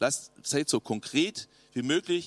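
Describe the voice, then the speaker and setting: The sound is dry and close, with no echo. A man speaks in an animated tone. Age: 50s. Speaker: youth pastor. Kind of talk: sermon.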